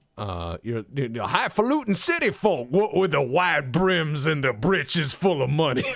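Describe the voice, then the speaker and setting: A fairly high-pitched man with a Texan accent, vocal fry, lively intonation, a fairly slow pace and hardly any pauses. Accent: Texan American. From Texas. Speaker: gaming podcast host. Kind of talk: casual chat.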